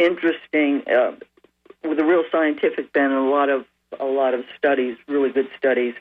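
A man at a moderate pace. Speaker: caller. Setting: phone call.

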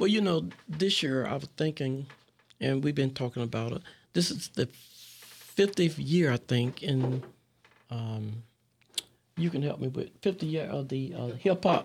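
A man with an unremarkable speaking voice talks fairly slowly, with a fairly high pitch and lively intonation. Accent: American. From West Palm Beach, Florida. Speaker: community leader. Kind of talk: interview. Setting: radio studio.

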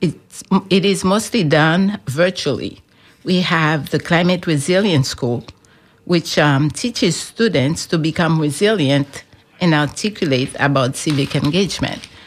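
This is a normal speaking voice from a woman, fairly low in pitch with ordinary variation. She talks at a fairly slow pace with very even loudness. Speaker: climate advocacy program director. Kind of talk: radio interview.

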